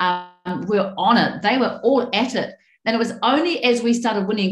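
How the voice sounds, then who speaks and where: A woman's voice comes across as somewhat breathy. There is audible room echo, and the background is quiet. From New Zealand. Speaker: member of parliament; panelist. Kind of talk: panel presentation. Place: home room. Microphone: webcam.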